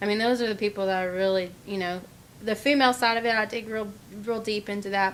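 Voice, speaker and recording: Delivered in a Texas accent, the speech runs at a very fast pace with fairly even intonation. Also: woman. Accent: Texas Southern. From Texas, Dallas area (Garland). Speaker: country singer. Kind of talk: interview. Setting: studio.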